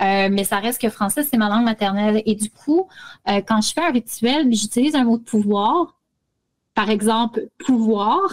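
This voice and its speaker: Speaking with a Quebec accent, a woman uses a fairly high, somewhat breathy voice with ordinary pitch variation. Her moderate pace comes through a dry, close sound with no echo. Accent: Québécois French. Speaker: spiritual practice radio co-host. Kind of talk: casual chat.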